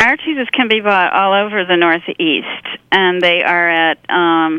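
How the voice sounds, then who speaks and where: An unremarkable speaking voice from a woman with an American accent, medium in pitch, with ordinary pitch variation and a fairly slow pace. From Pennsylvania. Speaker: literary agent and farmer. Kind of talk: casual chat.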